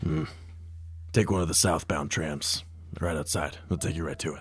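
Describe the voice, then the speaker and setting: A man uses a put-on character voice with a very deep, low pitch and a serious tone. He speaks at a moderate pace over clear background noise. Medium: actual play. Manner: terse, serious.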